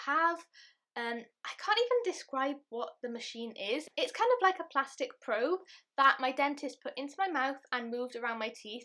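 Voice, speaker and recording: This woman has a British accent and a high pitch, with a bright, sharp tone. She uses a raised, projected voice at a moderate pace with lively intonation. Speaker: beauty and lifestyle vlogger. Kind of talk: casual vlog talk to camera. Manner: chatty.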